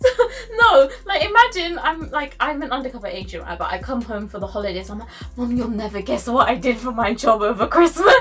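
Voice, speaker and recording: With music behind her, a woman talks very fast. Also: big swings in loudness. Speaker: YouTube guest. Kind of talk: casual chat. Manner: loud.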